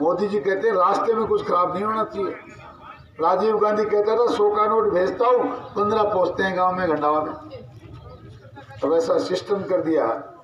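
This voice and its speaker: An animated man amid audible room echo and noticeable background noise. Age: 60s. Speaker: politician. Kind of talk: political rally speech. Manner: animated, rhetorical.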